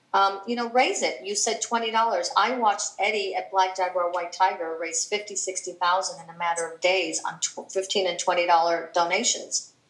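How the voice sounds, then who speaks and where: With noticeable background noise behind her, a woman at medium pitch speaks at a fairly slow pace with hardly any pauses and big swings in loudness. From Chicago, raised; born in Cuba. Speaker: philanthropist and animal rights activist. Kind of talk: interview.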